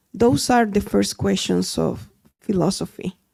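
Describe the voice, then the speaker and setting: A woman speaks at a fairly slow pace in a very clean recording with a silent background. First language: Spanish. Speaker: audience member. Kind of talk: audience question.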